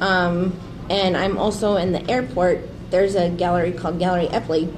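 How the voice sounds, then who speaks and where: In an American accent, a woman speaks with monotone, flat intonation against audible room echo. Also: medium pitch for a woman, fairly quick pace. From Nebraska, Grand Island. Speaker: photographer, small business owner. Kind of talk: casual interview. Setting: live stream.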